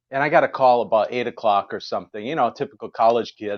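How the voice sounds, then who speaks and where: A man talks at a very fast pace with an American accent. His pitch is medium. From Wisconsin. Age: 50s. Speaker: jazz musician. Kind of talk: casual chat.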